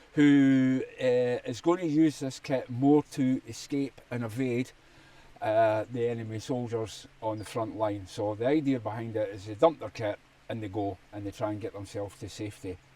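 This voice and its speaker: With music in the background, a man speaks at a moderate pace in a medium-pitched voice with ordinary pitch variation. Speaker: survival channel host, army veteran. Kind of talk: casual gear talk to camera. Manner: hesitant, many fillers.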